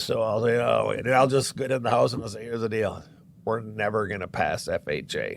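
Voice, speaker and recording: With an American accent, a man talks at a fairly quick pace and a medium pitch. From Florida. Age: 60s. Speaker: real estate agent. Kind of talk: podcast interview. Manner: animated.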